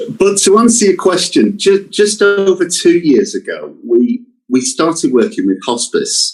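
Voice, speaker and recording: A man with a British accent talks at a fairly slow pace but with hardly any pauses. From England. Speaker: company representative. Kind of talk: interview. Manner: hesitant, repeats words.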